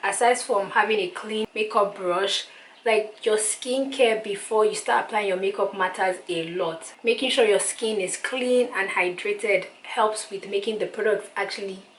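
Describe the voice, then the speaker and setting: There is noticeable background noise behind a woman at a moderate pace. She has a medium pitch and fairly even intonation. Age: 20s. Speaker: beauty YouTuber. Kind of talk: makeup tutorial talk to camera. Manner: casual, chatty.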